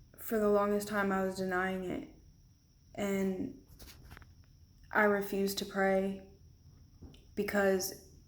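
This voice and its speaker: Medium-pitched female speech in a room with audible echo. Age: 20s. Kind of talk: testimony.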